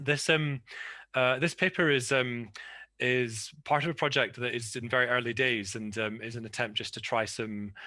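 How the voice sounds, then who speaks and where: Over a quiet background, a man with a Scottish accent talks at a moderate pace in a bright, sharp tone, his medium pitch varying in an ordinary way. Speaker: academic panelist. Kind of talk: conference paper presentation. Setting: video call. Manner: halting, many fillers and repetitions.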